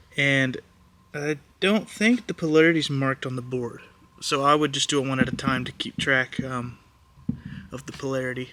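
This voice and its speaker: Against noticeable background noise, a man with a medium pitch and ordinary pitch variation keeps a moderate pace broken by long, frequent pauses. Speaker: console repair YouTuber. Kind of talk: tutorial. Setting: soldering station workbench. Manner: casual with many fillers.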